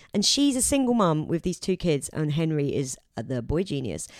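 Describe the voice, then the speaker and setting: A woman with a very deep, low pitch and lively intonation. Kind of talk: casual chat. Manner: informal, joking.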